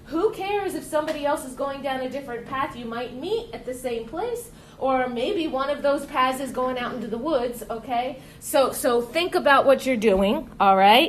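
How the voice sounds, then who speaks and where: A woman with a high pitch speaks in an animated tone at a moderate pace, her intonation lively and her loudness swinging widely. Audible room echo and noticeable background noise fill the recording. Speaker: teacher. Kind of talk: lecture.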